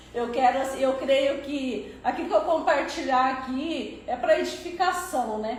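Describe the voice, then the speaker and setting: Amid noticeable background noise and audible room echo, a woman talks fairly slowly with hardly any pauses, using a high pitch and ordinary pitch variation. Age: 60s. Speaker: church member sharing testimony; public servant nearing retirement. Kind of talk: testimony.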